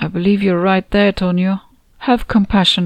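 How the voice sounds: The voice reads in a natural way.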